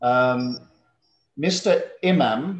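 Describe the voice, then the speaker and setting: A man with an English accent and a fairly high pitch speaks in a room with audible echo. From southwest London, England. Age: 50s. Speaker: English teacher. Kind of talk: online class. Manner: slow, clear.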